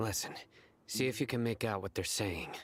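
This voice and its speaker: Raspy, put-on character voice at a fairly quick pace. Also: man, medium pitch for a man. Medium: video game. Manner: terse, cold.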